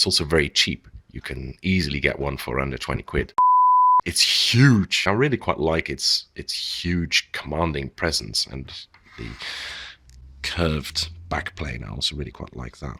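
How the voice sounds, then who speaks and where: With vocal fry and ordinary pitch variation, a man speaks at a very deep, low pitch in a dry, close sound with no echo. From Netherlands. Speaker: keyboard reviewer. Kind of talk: product review narration.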